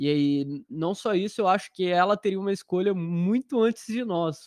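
A man at a fairly slow pace, with ordinary pitch variation, a dry, close sound with no echo and a quiet background. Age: 20s. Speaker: software engineer. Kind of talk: casual chat. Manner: talkative.

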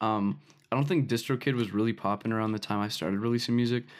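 A man with a normal speaking voice, medium pitch, ordinary pitch variation and a fairly quick pace, in a very clean recording with a silent background. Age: young. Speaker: music producer and artist. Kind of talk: casual chat. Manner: casual, many fillers.

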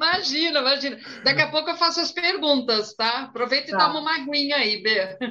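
Her voice is raised and projected, high in pitch for a woman. She talks at a fairly quick pace with lively intonation. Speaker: flight attendant and live stream moderator. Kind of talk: live stream interview.

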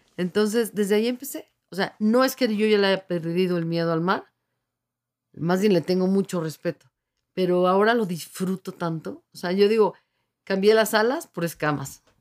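A woman's medium-pitched voice moves at a moderate speed, its pitch rising and falling in an ordinary way. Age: 50s. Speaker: open water swimmer, university staff. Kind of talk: radio interview. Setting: radio studio.

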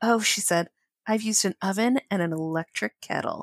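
With an American accent, the speaker has an unremarkable speaking voice, a moderate pace and ordinary pitch variation, on a very clean recording with a silent background and a dry, close sound with no echo. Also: woman. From Connecticut. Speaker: podcast co-host, romance book reviewer. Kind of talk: casual chat, book discussion with reading aloud.

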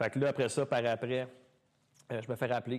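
Against a quiet background, a man speaks very fast in a flat monotone. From Quebec (Mont-Saint-Hilaire). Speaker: dancer and dance studio owner. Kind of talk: casual chat. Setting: studio with live audience.

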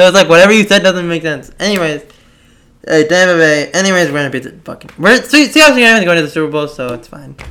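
A man's high, bright, sharp voice at a very fast pace, with lively intonation. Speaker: podcast host. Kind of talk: casual chat.

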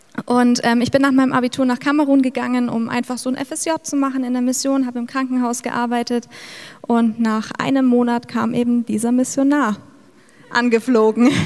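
Over noticeable background noise, a woman speaks at a moderate pace in a high pitch with monotone, flat intonation. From Middle Franconia, Bavaria. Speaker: missionary. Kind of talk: testimony. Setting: church service.

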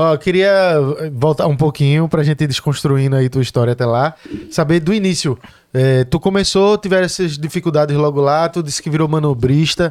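A man with a fairly high pitch speaks in an ordinary speaking voice at a fairly quick pace, his loudness very even and his pitch variation ordinary. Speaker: podcast host. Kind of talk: casual interview chat; sponsor read. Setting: studio.

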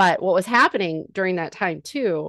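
A woman talks at a moderate pace with an American accent, medium pitch and ordinary pitch variation. Hers is a normal speaking voice, heard against a quiet background. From Northern California. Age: 40s. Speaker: comedian. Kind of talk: casual chat.

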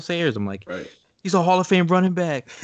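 This man has an American accent. His pitch moves through very wide swings. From US Northeast. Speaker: sports blogger. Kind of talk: casual interview.

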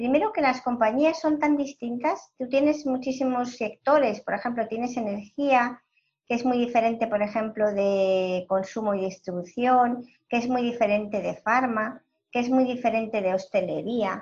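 A woman with a high pitch and ordinary pitch variation keeps to a moderate pace. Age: 50s. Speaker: entrepreneur and analytics executive. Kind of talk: interview.

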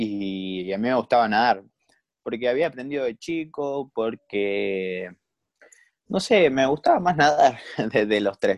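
A man at medium pitch with a Rioplatense accent, very slow yet lively in intonation, in a dry, close sound with no echo. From Argentina, Buenos Aires area. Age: 20s. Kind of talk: interview.

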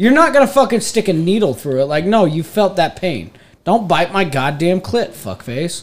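A man with an American accent speaks at a moderate pace. His pitch is high and swings very widely. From northeast Texas, Denton area. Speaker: podcast co-host. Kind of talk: casual chat.

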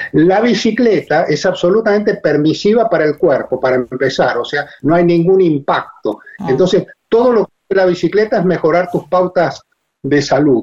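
A man's high-pitched voice carries lively intonation as he talks at a moderate pace. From Argentina. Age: 70s. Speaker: retired agronomist and long-distance cyclist. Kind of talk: interview. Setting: phone call.

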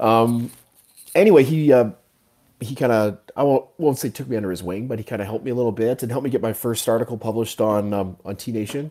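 This man talks at a very fast pace. His medium-pitched voice carries a Canadian accent. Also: ordinary pitch variation. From Canada. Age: 40s. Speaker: fitness coach and writer. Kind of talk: casual interview.

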